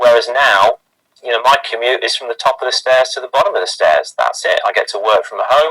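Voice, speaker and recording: In a British accent, a man talks fairly quickly with a dry, close sound and no echo. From UK. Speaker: sales and marketing team member. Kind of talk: team introduction testimony.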